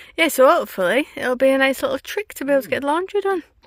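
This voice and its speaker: Very wide pitch swings mark this woman's high voice, in a Yorkshire accent. She speaks at a very fast pace. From Yorkshire, northern England. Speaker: travel vlogger. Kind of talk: casual vlog chat.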